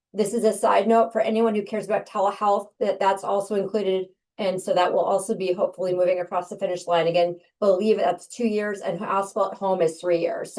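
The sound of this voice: A woman speaks very fast in a raspy, put-on character voice at a medium pitch, her intonation monotone and flat.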